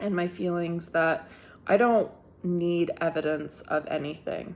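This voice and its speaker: Soft-spoken, the speaker talks at a fairly slow pace with fairly even intonation. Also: woman, fairly low pitch for a woman. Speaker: tarot reader. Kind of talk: tarot reading. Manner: halting.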